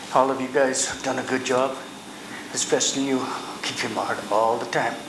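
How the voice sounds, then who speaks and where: In a monotone, flat intonation, a man speaks at medium pitch and a moderate pace. Noticeable background noise and audible room echo fill the recording. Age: 70s. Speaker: citizen rescued by police. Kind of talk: public thanks at council meeting.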